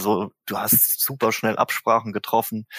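The sound is dry and close, without any echo. A man talks on a very clean recording against a silent background. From Germany, Mannheim. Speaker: drummer and singer in a band. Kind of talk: casual interview. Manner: hesitant, many fillers.

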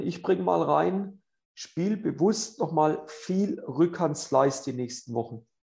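Against a quiet background, a man with a fairly high pitch and a dark, mellow tone shows vocal fry and very wide pitch swings. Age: 40s. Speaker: tennis coach and podcast host. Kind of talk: casual interview with tips. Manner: animated.

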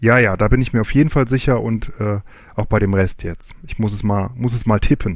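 This is a plain, everyday voice, moving at a moderate pace. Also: man, medium pitch for a man, ordinary pitch variation. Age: 40s. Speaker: podcaster, quiz contestant. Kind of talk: recorded game-show answers.

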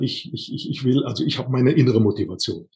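The voice is somewhat breathy. The pace is moderate. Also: man. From Rhineland, Siebengebirge near Bonn. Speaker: personnel development trainer. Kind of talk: interview. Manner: halting, many fillers.

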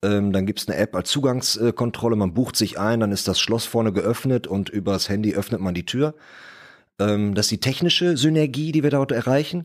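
Man with an unremarkable speaking voice, medium in pitch, fairly quick, with lively intonation on a very clean recording with a silent background. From Ruhr area, Germany (Bottrop). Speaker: property developer. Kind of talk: casual discussion. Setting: podcast studio.

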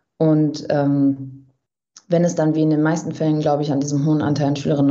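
A woman speaks with audible room echo. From Germany, Bielefeld-Brackwede. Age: 20s. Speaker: journalist and author. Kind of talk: interview. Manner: hesitant, many fillers.

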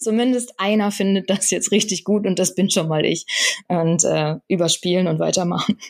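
Speaking at a moderate pace, a woman has an ordinary speaking voice at medium pitch with ordinary pitch variation. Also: very even loudness. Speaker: screenwriter. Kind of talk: interview. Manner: many filler sounds (ähm).

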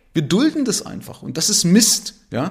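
A man speaks with lively intonation. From Saxony, eastern Germany (Zwickau). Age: 50s. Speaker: podcast host and investor. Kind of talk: solo monologue podcast. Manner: casual, with frequent fillers.

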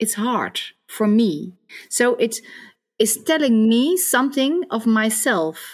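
A woman's fairly high voice with a Dutch accent, very slow in pace, very even in loudness and lively in intonation. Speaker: psychosocial therapist. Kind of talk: interview conversation.

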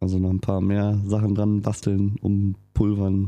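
This man's voice has a dark, mellow tone and a monotone, flat intonation. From rural Germany. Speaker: motorcycle podcaster. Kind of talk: casual chat.

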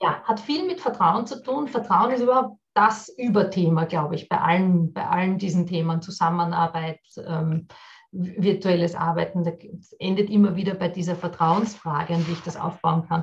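Somewhat breathy, a woman speaks at a fairly low pitch. Her pace is moderate, with ordinary pitch variation. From Austria, Vienna. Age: 40s. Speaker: business consultant and workshop trainer. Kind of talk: podcast interview.

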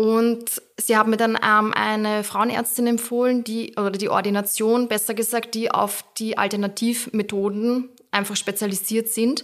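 Fairly high-pitched, monotone speech from a woman, flat in intonation and fairly slow. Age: 30s. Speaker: social media creator. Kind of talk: casual chat.

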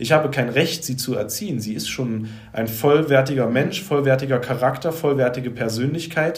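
A somewhat breathy male voice with ordinary pitch variation, in audible room echo. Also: medium pitch for a man, moderate pace. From Saxony, Leipzig. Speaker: life coach and former musician. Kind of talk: podcast interview.

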